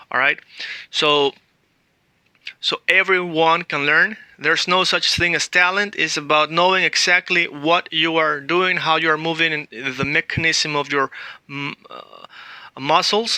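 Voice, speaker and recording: A man with a Spanish accent at a fairly slow pace and fairly high pitch, with fairly even intonation, long, frequent pauses and a dry, close sound with no echo. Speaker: language teacher. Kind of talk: tutorial.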